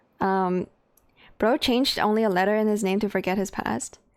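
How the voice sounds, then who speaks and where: Recorded very cleanly against a silent background, a woman with a Chinese accent speaks at a moderate pace and a medium pitch. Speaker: video game streamer. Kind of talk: casual chat. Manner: animated.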